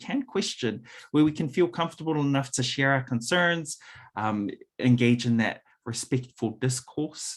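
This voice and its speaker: A man with a New Zealand accent, moderate pace and ordinary pitch variation, on a very clean recording with a silent background. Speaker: workshop presenter. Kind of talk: conference talk.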